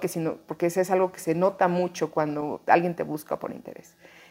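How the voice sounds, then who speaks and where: A woman with an unremarkable speaking voice, medium pitch, fairly quick pace. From Mexico, Chiapas. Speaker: actress. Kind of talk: interview conversation. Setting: apartment in Mexico City.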